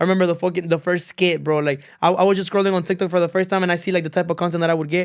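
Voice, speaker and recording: Words come at a very fast pace with hardly any pauses and very even loudness, in a Spanish accent. The recording is very clean, with a silent background. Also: man, high pitch for a man. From Honduras. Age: 20s. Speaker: content creator and musician. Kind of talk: casual podcast interview. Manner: animated, code-switching; monotone (self-described).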